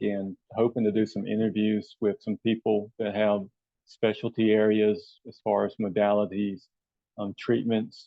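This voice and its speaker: A man with a Southern US accent speaks at a moderate pace, fairly low in pitch and flat, monotone in intonation. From US South. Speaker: health and wellness coach. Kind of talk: channel introduction monologue. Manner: hesitant, many fillers.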